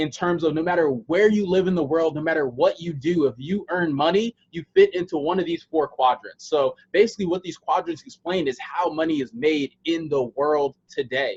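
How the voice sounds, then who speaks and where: In dry, close sound with no echo, a man with an American accent speaks at a high pitch with ordinary pitch variation and hardly any pauses. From USA. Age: 20s. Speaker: online sales presenter. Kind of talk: sales pitch. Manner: casual, with many filler words.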